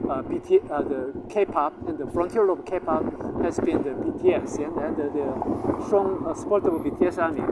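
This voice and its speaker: At a moderate pace, a man speaks while noticeable noise sits in the background. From Korea. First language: Korean. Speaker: language teacher, channel owner. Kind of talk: casual promotional talk to camera. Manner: halting, many fillers.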